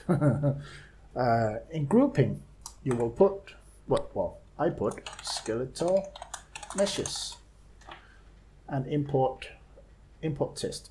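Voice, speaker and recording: A man speaks over noticeable background noise. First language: not English. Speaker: game modder. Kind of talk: screen-recorded software tutorial. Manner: hesitant, many filler sounds.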